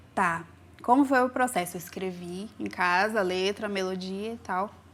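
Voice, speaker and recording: A plain, everyday voice from a woman, medium in pitch with ordinary pitch variation, at a fairly slow pace. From Brazil, raised in a city. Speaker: singer. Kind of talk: interview.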